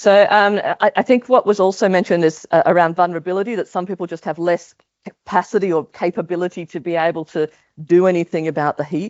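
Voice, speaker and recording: A woman with an Australian accent, fairly low in pitch, with fairly even intonation and a very fast pace. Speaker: maternal health researcher. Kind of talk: conference talk. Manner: hesitant, many fillers.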